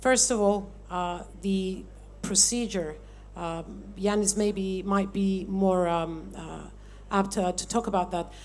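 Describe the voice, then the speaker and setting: Within audible room echo, a woman speaks at a very slow pace. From Cyprus, Nicosia. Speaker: member of parliament. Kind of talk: panel discussion. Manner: loud.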